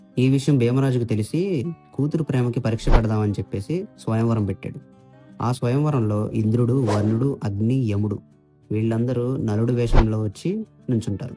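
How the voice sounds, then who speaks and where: A man's pitch shifts in an ordinary way. Behind him, music is playing. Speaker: voice-over storyteller. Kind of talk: mythological story narration. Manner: emotional, heartfelt.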